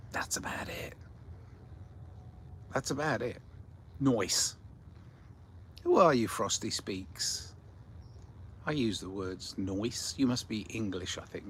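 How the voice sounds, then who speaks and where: A somewhat breathy man speaks at a very slow pace with lively intonation. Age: 60s. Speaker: livestream host reading chat. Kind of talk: casual livestream chat. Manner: rambling, repetitive with false starts.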